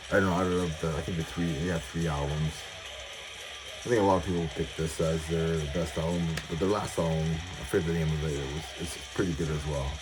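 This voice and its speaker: Very deep and low, a man's voice moves at a fairly quick pace in a monotone, flat intonation. Audible room echo and noticeable background noise surround him. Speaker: metal music collector YouTuber. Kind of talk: casual collection showcase. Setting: at home, music playing in background. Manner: mumbling; hesitant, many fillers.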